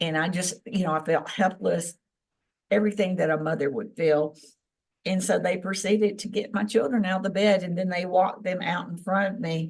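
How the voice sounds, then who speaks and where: A woman's somewhat breathy voice at medium pitch, with fairly even intonation and a fairly quick pace. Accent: Southern US. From Tennessee. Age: 60s. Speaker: experiencer of alien contact, former government employee. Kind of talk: interview testimony.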